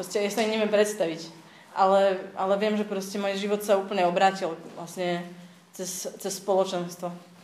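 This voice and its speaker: Against audible room echo, a woman speaks at a medium pitch with monotone, flat intonation. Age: 30s. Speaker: church community member. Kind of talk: testimony. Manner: halting.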